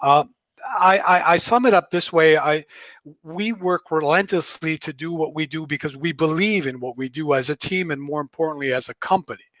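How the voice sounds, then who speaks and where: A man with a normal speaking voice talks at a fairly quick pace, his pitch fairly high with ordinary variation. The sound is dry and close with no echo, over a quiet background. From Canada. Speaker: creative director. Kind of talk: team introduction.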